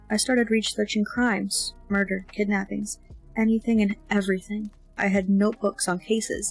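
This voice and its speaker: Against background music, a woman speaks at a moderate pace in a monotone, flat intonation with very even loudness. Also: medium pitch for a woman. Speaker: amateur audiobook reader. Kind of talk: fiction narration with character dialogue. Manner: relaxed, casual.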